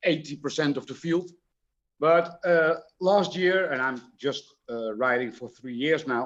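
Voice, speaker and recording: With a Dutch accent and a fairly high pitch, a man speaks at a fairly slow pace, leaving long, frequent pauses, his loudness swinging widely while his pitch varies in an ordinary way. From Dutch-speaking region. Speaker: slot car racer. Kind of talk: casual chat. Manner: halting.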